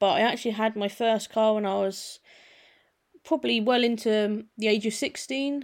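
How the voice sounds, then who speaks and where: A woman with an English accent speaks at a moderate pace, her pitch fairly high with ordinary variation. The recording is very clean, with a silent background. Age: 20s. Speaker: automotive youtuber. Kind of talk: casual solo podcast monologue. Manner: hesitant, many fillers.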